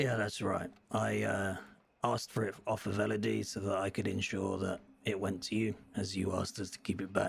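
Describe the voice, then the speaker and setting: A man puts on a raspy character voice with a fairly low pitch. He talks at a fairly quick pace. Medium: game stream. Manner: formal, measured, hesitant fillers.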